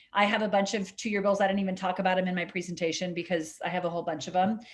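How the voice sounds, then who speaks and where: A somewhat breathy woman with an American accent at a fairly quick pace. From California (Sierra Nevada). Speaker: state legislator. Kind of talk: virtual town hall Q&A. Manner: fast; animated.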